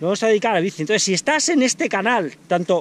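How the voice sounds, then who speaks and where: The speech comes at a very fast pace in a dry sound with no echo. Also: man. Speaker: sports channel vlogger. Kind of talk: casual vlog chat. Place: open country. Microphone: phone near.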